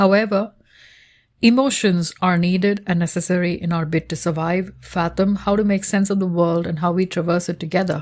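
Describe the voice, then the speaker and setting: On a very clean recording with a silent background, a woman speaks in a Tamil accent at a fairly low pitch. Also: fairly even intonation, moderate pace. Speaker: researcher. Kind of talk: reading aloud. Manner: formal.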